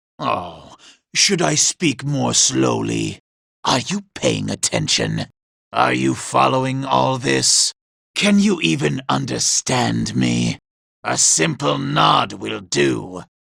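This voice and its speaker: A raspy, put-on character voice moves along at a fairly slow pace. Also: man. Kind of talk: video game character dialogue. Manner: sneering, condescending.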